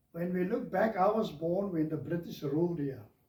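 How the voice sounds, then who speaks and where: A man with a high pitch speaks at a moderate pace with ordinary pitch variation. Room echo is audible. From South Africa. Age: 70s. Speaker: lay minister. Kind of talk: interview. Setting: studio.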